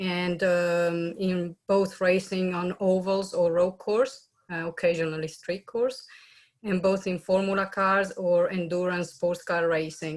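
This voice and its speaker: Speaking in an Italian accent, a woman uses a medium pitch and monotone, flat intonation at a fairly slow pace. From Italy. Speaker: race car driver and motorsport engineer. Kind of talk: panel webinar self-introduction. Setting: video call.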